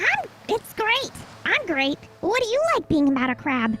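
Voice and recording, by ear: A put-on character voice, squeaky and extremely high-pitched, swings very widely in pitch. Loud background noise fills the recording. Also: moderate pace.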